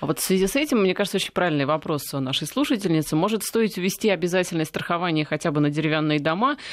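Hardly any pauses break the speech. It moves at a very fast pace. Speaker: radio host. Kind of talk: radio interview. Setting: studio.

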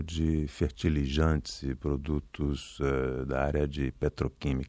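Over a quiet background, a man talks with a very deep, low pitch and a dark, mellow tone. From Brazil, Rio de Janeiro. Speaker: ambassador. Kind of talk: radio interview. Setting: radio studio. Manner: calm, soothing.

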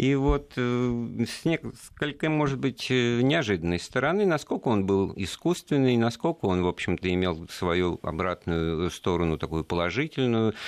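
A man speaks at a fairly slow pace over a quiet background, his pitch swinging very widely. His loudness stays very even. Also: medium pitch for a man. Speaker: radio host. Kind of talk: radio interview. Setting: studio.

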